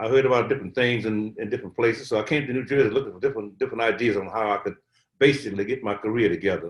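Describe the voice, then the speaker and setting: A man talking at a very fast pace. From US South, Atlanta, Georgia. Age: 80s+. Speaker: Covid survivor, elder. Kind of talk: interview. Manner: halting, repetitive.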